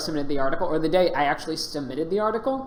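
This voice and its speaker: A woman talks very fast with lively intonation. Noticeable background noise and audible room echo come through. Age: 30s. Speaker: game streamer. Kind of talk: live gameplay commentary. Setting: live stream. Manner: casual, with many fillers.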